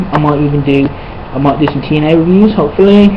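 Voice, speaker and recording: Noticeable background noise and audible room echo surround the recording. A woman with a very deep, low pitch talks with lively intonation. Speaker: wrestling reviewer, YouTuber. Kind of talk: casual review monologue. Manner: animated.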